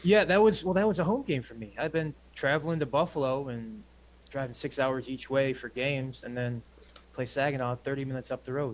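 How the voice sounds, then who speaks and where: With a Michigan accent, a man speaks at a fairly quick pace, his pitch fairly high and its variation ordinary. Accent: Michigan accent, 'country Canadian'. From Flint, Michigan. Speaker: professional football kicker. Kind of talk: casual chat.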